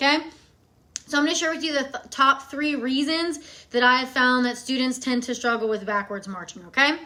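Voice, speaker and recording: A woman's raised, projected voice, high in pitch, at a fairly quick pace. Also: ordinary pitch variation. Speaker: marching band fundamentals coach. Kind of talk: live-stream tutorial. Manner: fast; casual, chatty.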